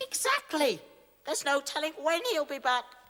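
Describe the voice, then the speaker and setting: A squeaky, high-pitched put-on character voice. It moves at a moderate pace. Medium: audio drama. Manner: pompous, formal.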